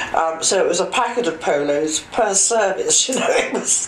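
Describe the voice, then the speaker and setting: A woman speaks with audible room echo. Light background noise sits beneath her voice. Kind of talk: interview answer. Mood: amused, anecdotal, laughing. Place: office.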